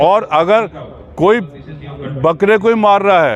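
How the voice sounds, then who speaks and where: Lively intonation from a man, with noticeable background noise. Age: 70s. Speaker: cow protection activist. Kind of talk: street interview. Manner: halting.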